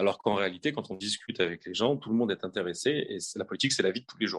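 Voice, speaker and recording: A man speaks in a dry, close sound with no echo. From France, Haute-Savoie. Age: 30s. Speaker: parliamentary candidate. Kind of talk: interview. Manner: halting.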